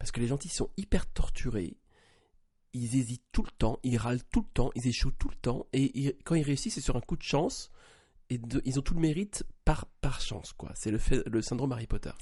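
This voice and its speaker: His voice dark and mellow and somewhat breathy, a man speaks at medium pitch and a moderate pace with lively intonation. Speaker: podcast co-host. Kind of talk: casual chat.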